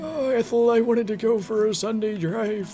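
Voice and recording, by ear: A put-on character voice at a fairly high pitch and moderate pace, with clear music in the background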